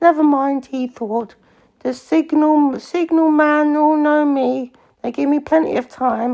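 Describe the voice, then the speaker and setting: Using a put-on character voice, a woman speaks high and at a fairly slow pace. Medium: read story.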